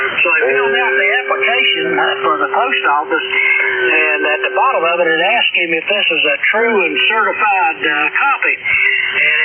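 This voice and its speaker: Over noticeable background noise and audible room echo, a man with an American accent talks at a moderate pace. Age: 70s. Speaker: ham radio operator checking in. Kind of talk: casual chat over radio. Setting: ham radio transmission.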